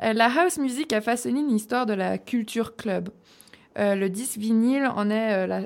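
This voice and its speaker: A woman's fairly high-pitched, unremarkable speaking voice at a fairly slow pace. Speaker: radio host presenting music segment. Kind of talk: casual chat.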